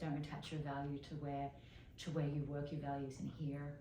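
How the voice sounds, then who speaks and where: Heard with audible room echo, a woman speaks at a moderate pace in a dark, mellow, somewhat breathy voice. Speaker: fashion journalist and magazine editor. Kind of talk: casual interview chat. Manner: animated.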